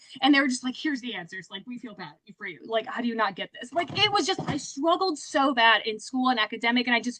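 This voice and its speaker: A high-pitched woman speaks at a very fast pace with hardly any pauses, her tone animated and her pitch swinging very widely. Her loudness swings a lot, and there is noticeable background noise. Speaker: sales director. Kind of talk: motivational talk.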